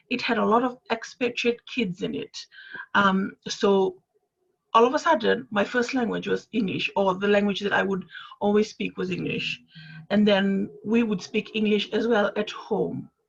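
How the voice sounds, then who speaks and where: A woman's fairly high voice with vocal fry and ordinary pitch variation. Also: moderate pace. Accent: Fijian. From Fiji. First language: Fijian. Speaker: panelist. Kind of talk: panel discussion.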